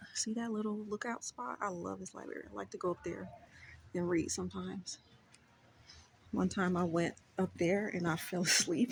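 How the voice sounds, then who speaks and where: A woman with an American accent speaks at a moderate pace, leaving long, frequent pauses. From Oakland, California. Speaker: lifestyle vlogger. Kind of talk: casual vlog talk. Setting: library. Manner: loud.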